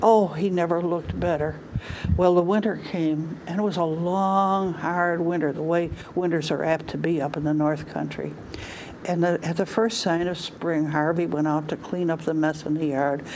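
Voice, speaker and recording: A woman with a fairly low pitch talks amid audible room echo and noticeable background noise. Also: fairly even intonation, moderate pace. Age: 80s+. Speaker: storyteller. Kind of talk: storytelling.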